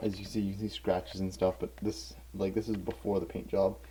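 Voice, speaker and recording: Amid noticeable background noise, a man with a fairly low pitch speaks at a very fast pace. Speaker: hobbyist video maker. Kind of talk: tutorial-style demonstration. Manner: soft-spoken; halting.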